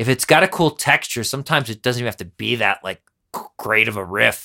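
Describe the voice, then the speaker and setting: The voice has a bright, sharp tone and an American accent. The sound is dry and close, with no echo. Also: man. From US Northeast. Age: 40s. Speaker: podcast host and musician. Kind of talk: casual chat. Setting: studio.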